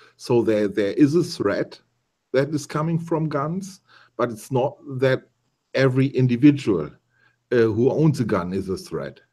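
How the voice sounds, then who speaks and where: In a German accent, the voice has a dark, mellow tone and lively intonation, moving at a fairly slow pace with long, frequent pauses. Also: man, medium pitch for a man. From Germany. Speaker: YouTuber joining stream. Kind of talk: casual debate.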